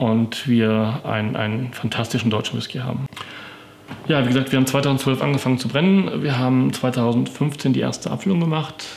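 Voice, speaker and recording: This man's pitch varies in an ordinary way while noticeable background noise plays beneath him. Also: medium pitch for a man, moderate pace. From Paderborn, Westphalia, Germany. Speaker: whisky merchant and distiller. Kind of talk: interview. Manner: hesitant with frequent fillers.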